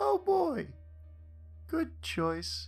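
Clear music plays in the background as a man does a put-on character voice. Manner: cartoony, with hidden sadness.

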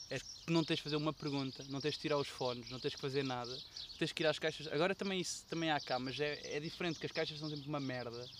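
A man's very fast speech at a fairly high pitch, with fairly even intonation. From Portugal, Celorico da Beira (Guarda district). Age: 20s. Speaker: podcast guest, recent tourism graduate. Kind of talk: casual chat.

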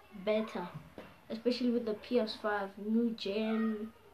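This woman's voice sits at a fairly high pitch. Noticeable background noise runs under it. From South Africa. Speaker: beginner podcaster. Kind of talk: casual monologue.

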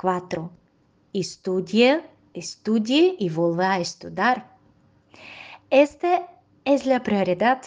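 Speaking very slowly with long, frequent pauses, a woman with a Russian accent uses a medium pitch and lively intonation. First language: Russian (speaking Spanish). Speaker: dog groomer. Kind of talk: interview answers, partly read. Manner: careful, non-native pace.

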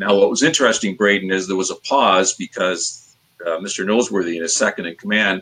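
Pitch moves in an ordinary way. The delivery is fairly quick. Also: man, fairly low pitch for a man. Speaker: managing broker, interview guest, former radio broadcaster. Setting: online live video interview.

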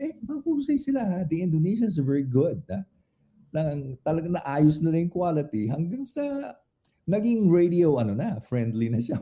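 With very wide pitch swings, a man speaks at a fairly quick pace in a fairly high voice with a dark, mellow tone. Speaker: guest host. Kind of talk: casual interview chat.

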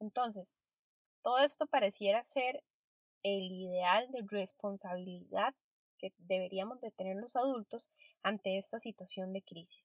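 A woman's unremarkable speaking voice at a medium pitch, fairly slow in pace with ordinary pitch variation, dry and close with no echo. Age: 30s. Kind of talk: solo podcast monologue.

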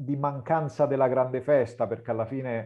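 A man speaks in a normal speaking voice, his fairly high pitch carried on fairly even intonation. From Lazio, province of Rome. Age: 40s. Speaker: writer and Italian teacher. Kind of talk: interview.

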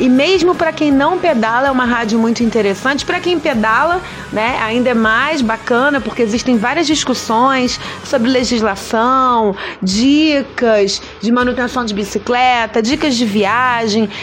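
A woman's high-pitched, animated voice, ordinary in pitch variation and very even in loudness, over noticeable background noise. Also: fairly slow pace. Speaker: podcast host. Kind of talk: casual radio show hosting.

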